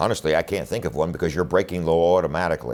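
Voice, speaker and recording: A man with a Philadelphia accent speaks in an animated tone, his very deep, low pitch carrying vocal fry. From Philadelphia, Pennsylvania (West Philadelphia). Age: 60s. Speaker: defense attorney and political candidate. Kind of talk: campaign speech to camera.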